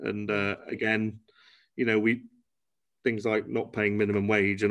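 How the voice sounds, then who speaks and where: Speaking fairly quickly, a man with a Cheshire accent has a fairly low pitch. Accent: northern English (Cheshire). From northern England, Cheshire (Congleton). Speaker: genetics testing company founder. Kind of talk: interview. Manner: hesitant, many fillers.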